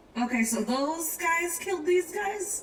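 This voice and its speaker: A woman's put-on character voice, extremely high-pitched and lively in intonation, at a fairly slow pace. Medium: actual play. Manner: blunt, direct questions.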